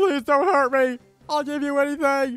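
Over faint music in the background, a man does a put-on character voice at an extremely high pitch and a moderate pace. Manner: mock pleading.

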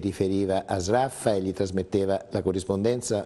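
A man with a fairly low voice and a dark, mellow tone speaks at a moderate pace. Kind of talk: interview answer. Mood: calm, explanatory. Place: studio.

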